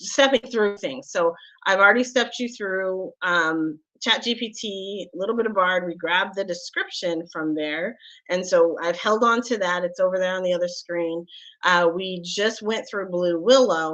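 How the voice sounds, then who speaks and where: Against a quiet background, a woman speaks at a medium pitch and a moderate pace in an unremarkable speaking voice. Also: ordinary pitch variation. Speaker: tech show host. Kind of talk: live tutorial.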